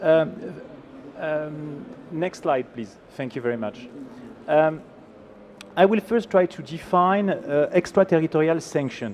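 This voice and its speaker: Using a French accent, a man with a fairly high pitch speaks fairly slowly with lively intonation and long, frequent pauses. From France. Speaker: law professor. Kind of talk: conference presentation. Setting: conference panel with audience and slides.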